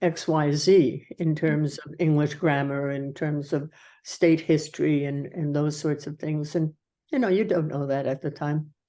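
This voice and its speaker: Over a quiet background, a woman speaks in a very deep, low pitch with a dark, mellow tone. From Norway, raised in US from childhood. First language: Norwegian. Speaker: retired army colonel and nurse. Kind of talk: oral history interview. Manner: halting, many fillers.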